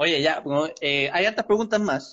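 In a Chilean accent, a man with a high pitch talks at a fairly quick pace. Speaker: live-stream interview host. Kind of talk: casual live-stream interview.

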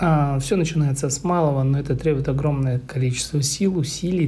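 A man speaks at a fairly high pitch with ordinary pitch variation. His tone is dark and mellow and somewhat breathy. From Moscow, Russia. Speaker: podcaster. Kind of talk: personal storytelling monologue. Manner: casual, hesitant.

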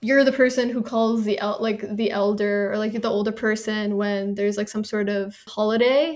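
At a moderate pace and with hardly any pauses, a woman uses an ordinary speaking voice, fairly high in pitch, with fairly even intonation. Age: 20s. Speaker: podcast co-host. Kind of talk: casual chat.

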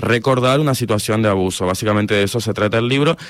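Against a silent background in a very clean recording, a man talks at a very fast pace with ordinary pitch variation. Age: 30s. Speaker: writer. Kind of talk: radio interview.

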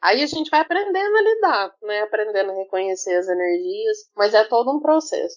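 The pace is moderate. Pitch swings are very wide. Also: woman. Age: 30s. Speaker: candomblé practitioner and mother. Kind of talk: casual chat.

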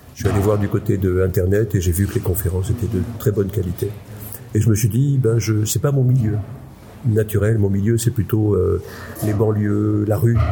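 Over noticeable background noise, a man speaks at a moderate pace and a fairly low pitch, his loudness very even and his intonation fairly even. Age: 60s. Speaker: psychiatrist and conference speaker. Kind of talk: interview. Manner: halting.

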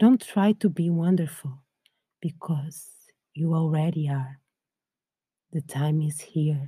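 A woman speaks at a very slow pace in a very deep, low pitch with ordinary pitch variation. Her calm, soothing tone is dark, mellow and somewhat breathy. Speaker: podcast host and meditation guide. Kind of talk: guided meditation. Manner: calm, slow, soothing, gentle; soft-spoken, with long pauses.

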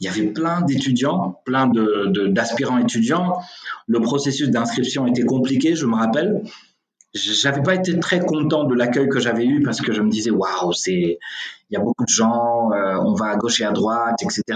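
This man's voice sits at a medium pitch and moves at a moderate pace. His intonation is lively while his loudness stays very even. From Senegal. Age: 30s. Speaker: real estate executive. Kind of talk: interview. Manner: hesitant with fillers.

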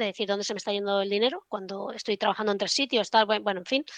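A woman speaks at a fairly high pitch with fairly even intonation, recorded dry and close with no echo. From Spain, Barcelona. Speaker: trader. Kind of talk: casual interview chat.

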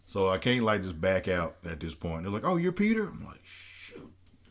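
In an animated tone, a man with a fairly low voice speaks at a moderate pace. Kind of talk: casual chat.

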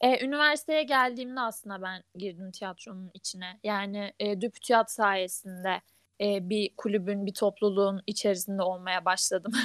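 Recorded dry and close with no echo on a very clean, silent background, a woman at medium pitch speaks at a moderate pace with ordinary pitch variation and hardly any pauses. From Ankara, Turkey. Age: 20s. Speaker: engineering student, theatre club member. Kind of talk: casual chat.

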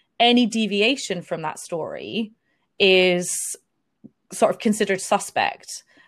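A woman with a normal speaking voice talks at a medium pitch and a fairly slow pace. Her pitch variation is ordinary. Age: 30s. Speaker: life coach and energy therapist. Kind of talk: casual interview chat. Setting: video call.

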